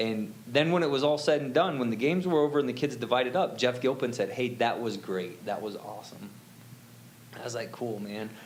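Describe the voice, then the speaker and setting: A man talks at a fairly quick pace in an animated tone, with medium pitch and ordinary pitch variation. Audible room echo surrounds his voice. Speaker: church youth volunteer. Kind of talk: testimony. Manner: loud.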